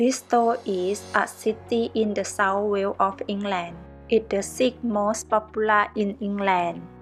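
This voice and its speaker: Music plays in the background as a woman speaks very slowly in a monotone, flat delivery. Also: medium pitch for a woman. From Thailand. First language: Thai. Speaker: travel vlogger. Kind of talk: casual travel vlog talk to camera. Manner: drops word endings.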